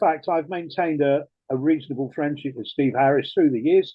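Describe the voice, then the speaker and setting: Lively intonation and a moderate pace mark this man speaking with an English accent. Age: 70s. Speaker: retired rock DJ. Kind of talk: interview.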